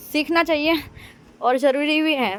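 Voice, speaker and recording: A woman with a Gujarati accent and ordinary pitch variation. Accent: Gujarati-accented Hindi. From India, Gujarat. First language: Gujarati (speaking Hindi). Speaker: mom vlogger. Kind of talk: vlog. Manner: casual, chatty.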